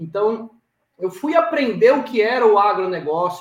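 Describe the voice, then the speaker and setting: A man's high-pitched voice at a fairly slow pace, with very wide pitch swings. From Brazil, Maceió, Alagoas (Northeast). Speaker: cattle rancher and farm management consultant. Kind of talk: podcast interview. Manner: halting, many fillers and repetitions.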